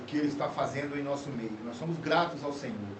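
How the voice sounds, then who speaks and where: A man speaks at a fairly high pitch with lively intonation. Noticeable background noise and audible room echo surround him. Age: 60s. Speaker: pastor. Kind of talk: podcast conversation. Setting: studio. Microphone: poor audio quality due to technical problems.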